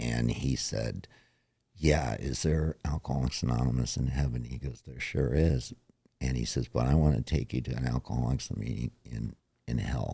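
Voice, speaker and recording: This man's voice is very deep and low in pitch, with a dark, mellow tone and vocal fry. His intonation is fairly even, and he moves at a moderate pace. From born in New York, raised elsewhere. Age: 60s. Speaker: recovering alcoholic, pool cleaner. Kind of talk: personal testimony in interview.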